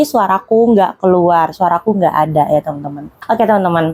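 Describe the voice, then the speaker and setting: A woman's medium-pitched voice at a very fast pace, dry and close with no echo. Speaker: YouTube horror storyteller. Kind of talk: casual storytelling. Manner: chatty, conversational.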